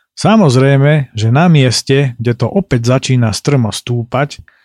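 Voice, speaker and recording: A man's medium-pitched, fairly slow delivery in a normal speaking voice, with ordinary pitch variation, dry, close sound with no echo, and a very clean recording over a silent background. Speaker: podcast host and travel narrator. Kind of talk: scripted narration.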